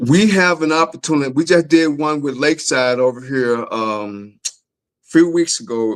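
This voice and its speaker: Someone with a Southern accent talks at a moderate pace in a dry, close sound with no echo. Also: man. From Memphis, US South. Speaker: author and doctor. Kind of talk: interview on a live talk show. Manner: animated.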